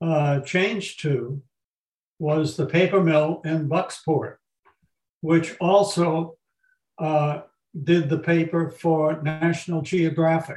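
At a very slow pace, a man with an American accent talks in a fairly high pitch. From Massachusetts, Haverhill. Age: 80s+. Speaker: retired magazine publisher. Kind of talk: interview.

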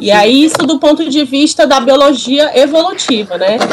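A woman's intonation is lively, and noticeable background noise sits behind her. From Brazil, Ceará. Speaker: researcher in behavior analysis. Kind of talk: casual podcast discussion.

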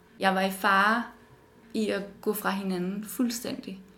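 Audible room echo and noticeable background noise. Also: woman. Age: 20s. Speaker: design student. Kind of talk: personal interview testimony.

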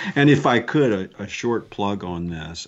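An unremarkable speaking voice from a man with an American accent, fairly low pitch and fairly slow pace. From US South, New Orleans. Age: 50s. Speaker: leadership consultant and business owner. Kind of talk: interview.

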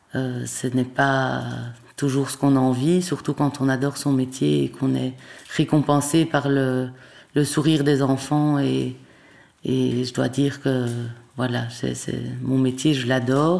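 A woman with a very deep, low pitch speaks very slowly in a flat monotone, leaving long, frequent pauses. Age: 40s. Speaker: primary school teacher with Parkinson's disease. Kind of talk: testimony. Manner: halting, frequent hesitations and repetitions.

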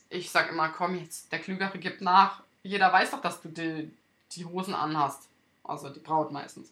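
Her tone is bright and sharp, and her pitch sits fairly low for a woman. The woman keeps her intonation fairly even. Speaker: wedding podcast host and wedding photographer. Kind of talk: solo podcast monologue. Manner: halting, with stumbles and fillers.

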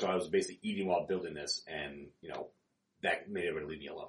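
A man speaks at a very fast pace. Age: 30s. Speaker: co-host, powerlifter. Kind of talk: casual chat podcast.

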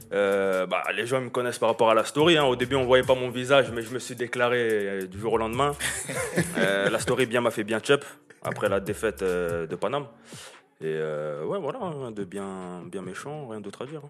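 With an unremarkable speaking voice, a man talks at a moderate pace and medium pitch. His intonation is lively and his loudness swings widely. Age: 20s. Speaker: football fan, social media personality. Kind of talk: casual chat.

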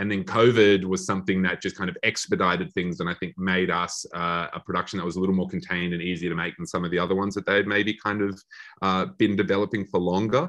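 With an Australian accent, a man with a very deep, low pitch talks at a very fast pace, monotone and flat, with hardly any pauses. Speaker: film director. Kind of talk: interview. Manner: halting.

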